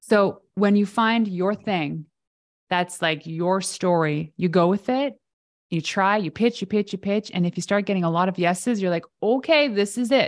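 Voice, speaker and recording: A woman with an unremarkable speaking voice and a Canadian accent talks at a moderate pace and medium pitch, with ordinary pitch variation, in a very clean recording with a silent background. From Canada. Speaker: PR expert and entrepreneur. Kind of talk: casual interview.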